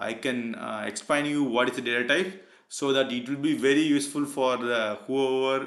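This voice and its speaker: Audible room echo surrounds a man speaking at a medium pitch and moderate pace. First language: not English. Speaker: PLC programming tutor. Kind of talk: tutorial. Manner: halting, many fillers.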